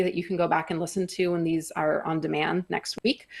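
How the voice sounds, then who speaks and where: A woman's fairly low voice with vocal fry, against a quiet background. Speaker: company executive presenting at a trade event. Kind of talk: conference presentation. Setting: stage at a live trade event. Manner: fast; many fillers (um, uh).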